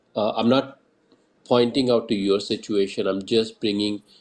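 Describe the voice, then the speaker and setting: Speaking with a strong Indian accent, a man keeps a moderate pace, fairly even intonation and a fairly low pitch. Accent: thick Indian. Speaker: Twitter Space host. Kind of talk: casual panel discussion. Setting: online audio space.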